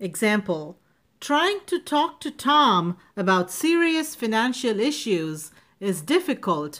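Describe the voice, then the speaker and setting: A woman with a non-native accent and very wide pitch swings. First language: not English. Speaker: speech and public speaking coach. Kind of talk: educational vocabulary lesson to camera. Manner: clear, careful pronunciation.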